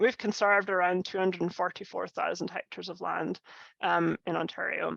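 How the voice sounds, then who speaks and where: Speaking at a fairly quick pace with a Scottish accent, the voice keeps a fairly even intonation, recorded dry and close with no echo against a quiet background. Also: woman. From Scotland. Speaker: conservation scientist. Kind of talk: lecture. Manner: halting, many fillers.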